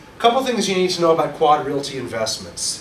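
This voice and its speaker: A man with a New York accent speaks with lively intonation over noticeable background noise and audible room echo. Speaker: real estate instructor and broker. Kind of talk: orientation presentation to a small audience. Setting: small room with live audience, recorded for webcast. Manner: fast; loud.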